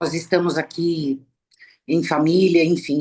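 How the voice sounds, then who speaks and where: This woman has a normal speaking voice with a fairly low pitch. She talks at a fairly slow pace. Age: 60s. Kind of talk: panel talk in a live stream.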